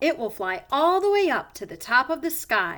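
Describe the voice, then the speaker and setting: A woman's put-on character voice, high in pitch, swinging very widely, at a moderate pace. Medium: read story.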